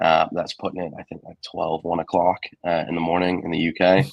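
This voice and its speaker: A man's very deep, low voice with an English accent, flat monotone intonation and a moderate pace. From England. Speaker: assistant football coach and science teacher. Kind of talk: interview. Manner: casual, many fillers.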